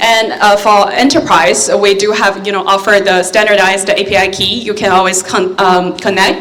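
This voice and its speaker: A woman of fairly high pitch at a moderate pace, with noticeable background noise and audible room echo. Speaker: AI company representative. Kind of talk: conference talk. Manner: hesitant, many fillers.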